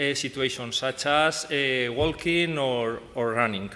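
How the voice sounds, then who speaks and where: Speaking in a Spanish accent, a man uses a bright, sharp tone with fairly even intonation. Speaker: professor. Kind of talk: conference talk. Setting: conference stage. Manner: halting, many fillers.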